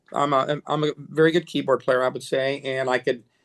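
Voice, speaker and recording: Here a man talks at a fairly high pitch. His pace is moderate. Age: 60s. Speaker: music producer and musician. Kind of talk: interview. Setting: home studio. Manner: halting.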